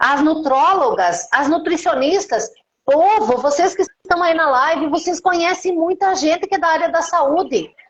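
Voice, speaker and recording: A woman talks at a fairly slow pace. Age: 50s. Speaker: beauty professional and mentor. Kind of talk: live-stream interview.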